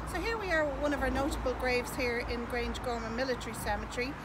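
Loud background noise surrounds a woman talking at a fairly quick pace with high pitch. She has an Irish accent and ordinary pitch variation. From Ireland. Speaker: tour guide. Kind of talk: guided tour talk. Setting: outdoors. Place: open country.

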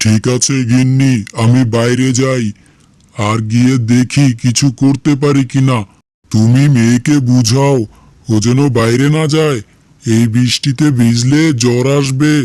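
A man does a cartoonish character voice at a medium pitch, flat and monotone in intonation. He goes at a fairly slow pace with very even loudness. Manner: earnest, plaintive.

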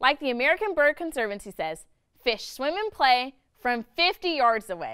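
A woman's high-pitched, upbeat, playful voice at a moderate pace, with very wide pitch swings. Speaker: educational video host. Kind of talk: nature documentary narration. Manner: upbeat, bright, child-friendly and playful; clear, enthusiastic, with a teacherly tone.

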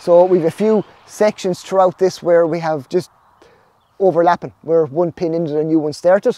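Here a man with an Irish accent speaks at a moderate pace, his pitch high and his tone dark and mellow. His intonation stays fairly even, and the sound is dry with no echo. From Ireland. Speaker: snail farmer. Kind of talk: vlog narration. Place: farm machine. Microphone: phone near.

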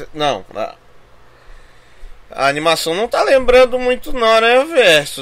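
A man's raised, projected voice, bright and sharp in tone, very slow, with very wide pitch swings. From Brazil. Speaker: gaming YouTuber. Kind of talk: trailer reaction. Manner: animated. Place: home room.

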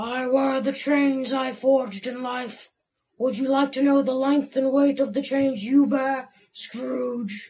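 A female-sounding put-on character voice, high-pitched, at a fairly slow pace. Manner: solemn, warning, sepulchral.

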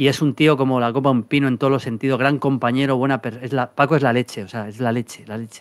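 Over a quiet background, a man uses a normal speaking voice at medium pitch, fairly quick in pace with fairly even intonation. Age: 50s. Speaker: football pundit. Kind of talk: casual chat. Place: studio. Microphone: studio mic.

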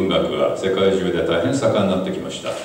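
A man's voice with strong room echo and light background noise. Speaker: visiting writer lecturing. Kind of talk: lecture. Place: hall.

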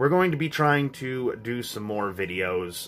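Ordinary pitch movement from a man, moderately paced, with a little background noise. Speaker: family vlogger. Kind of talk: casual vlog chat. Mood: subdued, calm update. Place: home room. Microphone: phone near.

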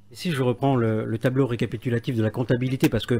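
Here a man speaks at a medium pitch in a dark, mellow tone. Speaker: radio interviewer. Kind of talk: radio interview. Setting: radio studio.

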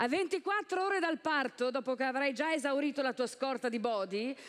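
Against a quiet background, a woman rattles along at a very fast pace in a high pitch. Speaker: stand-up comedian. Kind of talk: stand-up comedy routine. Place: stage. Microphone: headset.

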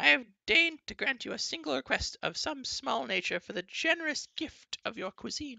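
Someone speaks in a put-on character voice at a moderate pace, fairly high in pitch. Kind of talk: formal, pompous. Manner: lofty, haughty.

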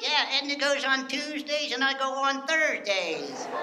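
A man in a put-on character voice at a moderate pace, over loud background noise. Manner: grumpy, sarcastic.

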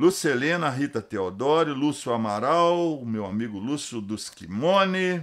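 Against a quiet background, a man speaks at a fairly slow pace. His pitch swings very widely. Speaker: podcast host. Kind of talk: casual chat. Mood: warm, friendly. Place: studio. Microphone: studio mic.

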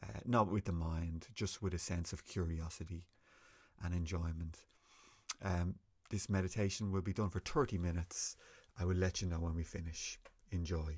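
Against a quiet background, a man with a very deep, low voice and a somewhat breathy sound talks at a moderate pace, pausing often and at length. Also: fairly even intonation. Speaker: meditation teacher. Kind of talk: guided meditation. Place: home room. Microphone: webcam.

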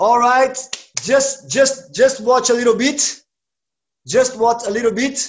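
A man with a Brazilian accent and an extremely high pitch speaks at a very slow pace in a monotone, flat intonation, with long, frequent pauses and light background noise. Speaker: martial arts instructor. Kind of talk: online class instruction. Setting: video call. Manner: halting in English. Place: empty room. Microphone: webcam.

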